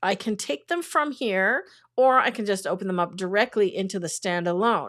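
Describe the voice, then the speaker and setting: A woman's medium-pitched, normal speaking voice with lively intonation at a moderate pace, on a very clean recording with a silent background. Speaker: photography teacher. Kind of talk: livestream tutorial. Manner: casual.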